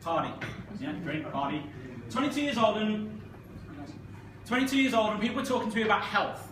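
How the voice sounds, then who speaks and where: Speaking fairly quickly with a Manchester accent, a man uses a high, animated voice with very wide pitch swings and long, frequent pauses. Noticeable background noise and audible room echo are present. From Manchester, northern England. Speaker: network marketing speaker. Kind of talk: motivational talk to an audience. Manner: fast.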